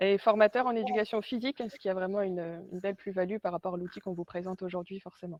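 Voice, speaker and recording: The recording is dry and close with no echo, carrying a woman's ordinary speaking voice at a medium pitch with ordinary pitch variation. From northern France, Arras. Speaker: sales representative and trainer. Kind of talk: webinar presentation. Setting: online webinar.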